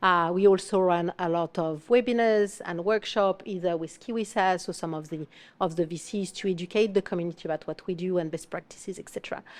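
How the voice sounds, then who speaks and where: Over a quiet background, a woman with a non-native accent and medium pitch speaks at a fairly quick pace with fairly even intonation. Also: hardly any pauses. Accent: foreign. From France. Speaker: fractional marketing executive. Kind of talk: panel discussion.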